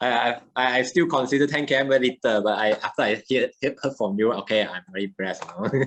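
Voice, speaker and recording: With hardly any pauses, a man speaks at a very fast pace in a medium pitch with ordinary pitch variation. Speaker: podcast host. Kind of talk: podcast interview. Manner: halting.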